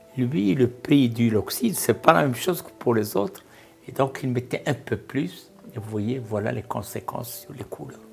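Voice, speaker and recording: A man talks at a fairly slow pace with ordinary pitch variation while music plays behind him. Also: medium pitch for a man, big swings in loudness. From Morocco, Safi. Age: 80s+. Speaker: art collector and retired senior official. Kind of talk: interview testimony.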